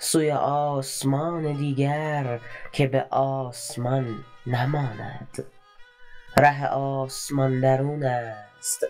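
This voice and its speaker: Music plays in the background as a woman speaks at a very slow pace with a very deep, low pitch. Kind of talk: poetry reading. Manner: slow, contemplative.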